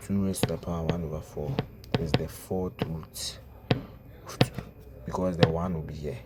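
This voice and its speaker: Against noticeable background noise, a man speaks with a very deep, low pitch and ordinary pitch variation. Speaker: math teacher. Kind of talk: tutorial. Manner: slow.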